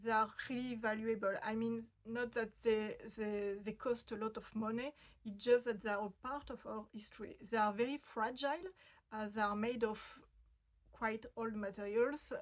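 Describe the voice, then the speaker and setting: A woman's fairly high voice with a French accent, fairly slow in pace, with fairly even intonation. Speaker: fashion history video host. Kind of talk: explainer video. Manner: hesitant, many fillers.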